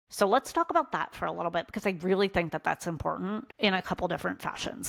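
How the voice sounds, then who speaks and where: Vocal fry runs through this woman's fairly low voice. Her pitch variation is ordinary. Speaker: content creator and small business coach. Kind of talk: casual vlog tutorial.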